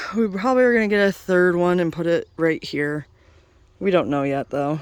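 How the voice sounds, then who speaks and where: Against a silent background in a very clean recording, a woman speaks at a moderate pace with very wide pitch swings. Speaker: home gardener vlogger. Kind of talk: casual walkthrough tour. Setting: outdoors in garden.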